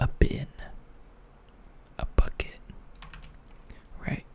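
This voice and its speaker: A whisper comes through with noticeable background noise around it. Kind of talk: ASMR talk to camera explaining topics casually. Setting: close microphone recording. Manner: casual, rambling, with filler words.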